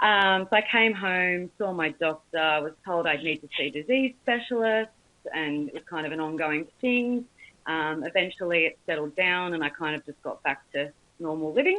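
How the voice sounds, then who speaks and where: A woman speaks with an Australian accent and lively intonation. Her voice is fairly low, at a moderate pace. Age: 20s. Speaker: cancer survivor. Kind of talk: testimony.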